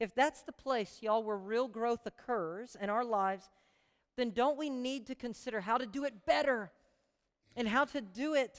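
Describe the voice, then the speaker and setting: An animated woman with a fairly high pitch, moderate pace and ordinary pitch variation. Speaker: pastor. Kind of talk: sermon.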